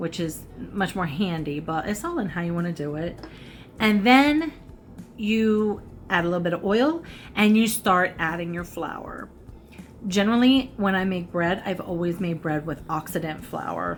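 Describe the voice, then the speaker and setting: Against light background noise, a woman speaks at a moderate pace and medium pitch with ordinary pitch variation. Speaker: cooking and makeup vlogger; makeup vlogger. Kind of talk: casual cooking tutorial. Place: home room. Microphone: phone near.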